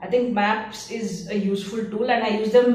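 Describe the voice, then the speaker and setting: Noticeable background noise sits under a woman speaking with a Tamil accent. Her pitch is fairly high and her pace fairly quick. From India, Bangalore. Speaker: curator. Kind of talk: interview monologue. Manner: hesitant, with fillers.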